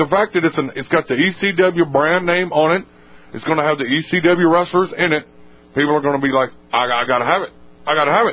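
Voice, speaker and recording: With an American accent, a man talks in an ordinary speaking voice at a fairly quick pace, his fairly high pitch showing ordinary variation. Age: 20s. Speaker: wrestling podcast co-host. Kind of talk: casual chat.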